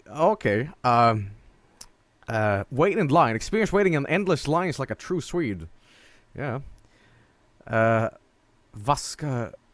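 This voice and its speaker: Speaking at a very slow pace with long, frequent pauses, a man at medium pitch lets his voice swing very widely in pitch. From northern Sweden. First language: Swedish. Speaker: streamer. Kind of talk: gameplay stream commentary. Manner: animated.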